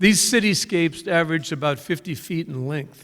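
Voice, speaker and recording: On a very clean recording with a silent background, a man with a Californian accent speaks at a moderate pace, his fairly high pitch moving with ordinary variation. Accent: Californian American. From Northern California (Napa Valley). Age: 70s. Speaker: storyteller. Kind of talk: personal storytelling on stage. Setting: stage with live audience.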